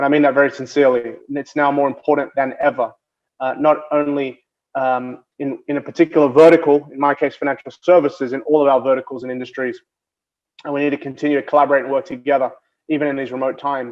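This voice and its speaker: A man speaks at a very fast pace in an Australian accent. His fairly high pitch stays monotone, with flat intonation. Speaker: banking innovation executive. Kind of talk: keynote speech. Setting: video call.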